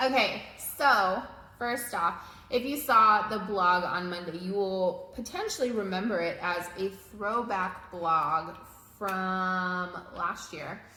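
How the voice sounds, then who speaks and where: A woman's very slow speech at a medium pitch with ordinary pitch variation, over audible room echo and noticeable background noise. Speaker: marriage coach. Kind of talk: casual chat. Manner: loud.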